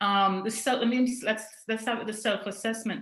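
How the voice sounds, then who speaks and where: A woman with a Trinidadian accent speaks at a fairly high pitch with ordinary pitch variation, and audible room echo surrounds her voice. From Trinidad and Tobago. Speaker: coaching client, project manager. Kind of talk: testimonial interview.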